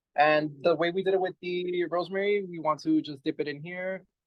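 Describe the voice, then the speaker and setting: Speaking with a Spanish accent, a man uses an animated tone at a fairly high pitch, a moderate pace and ordinary pitch variation. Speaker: urban farm manager. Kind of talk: hands-on demonstration. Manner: casual, animated.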